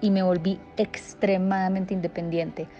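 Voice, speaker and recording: The speaker is a woman with a medium pitch. Her intonation stays monotone and flat. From Colombia, Medellín. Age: 20s. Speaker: social communicator. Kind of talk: personal testimony. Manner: halting, with fillers and repetitions.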